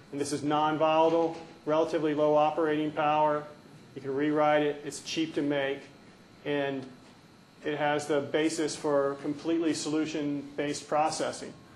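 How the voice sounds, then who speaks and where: A man talks in a monotone, flat way at a fairly high pitch. Audible room echo surrounds his voice. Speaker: research scientist. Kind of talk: conference talk. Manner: fast.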